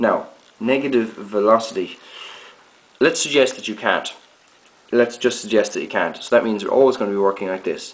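Ordinary pitch variation at a fairly quick pace, with long, frequent pauses and audible room echo. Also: man.

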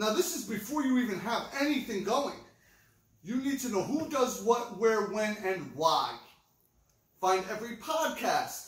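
A man's extremely high-pitched, animated voice with audible room echo over a quiet background. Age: 40s. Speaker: record store video host. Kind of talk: casual chat. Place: shop. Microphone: camera far.

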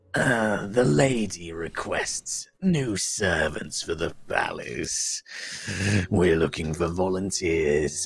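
A put-on character voice from a man, very deep and low in pitch, at a very slow pace. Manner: beautiful, musical.

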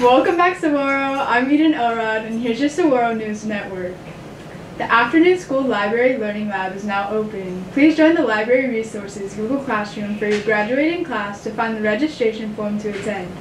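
Audible room echo and light background noise surround a woman speaking at a fairly quick pace. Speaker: student news anchor. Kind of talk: school announcements. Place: studio.

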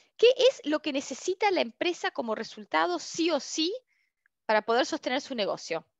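A woman speaks at a moderate pace in a high pitch with very wide pitch swings. The sound is dry with no echo. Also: quiet background. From Argentina. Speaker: customer experience consultant and instructor; instructor. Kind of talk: online open class / webinar. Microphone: headset.

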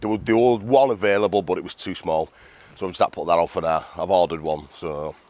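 Speaking at a very fast pace, a man uses a British accent. His pitch varies in an ordinary way. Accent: British English, informal regional. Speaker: motorcycle vlogger. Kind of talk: casual vlog chat. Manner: casual, chatty.

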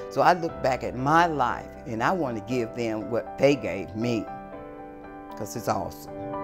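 Clear music sits behind a voice that moves at a moderate pace with very wide pitch swings. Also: woman, very deep, low pitch for a woman. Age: 60s. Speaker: recovering addict, resident advocate. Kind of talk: personal testimonial interview. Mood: grateful, earnest. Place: home room. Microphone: lapel.

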